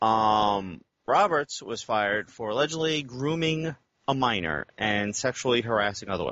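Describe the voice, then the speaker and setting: In a plain, everyday voice with an American accent, a man speaks at a moderate pace and medium pitch with lively intonation. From United States. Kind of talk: casual banter.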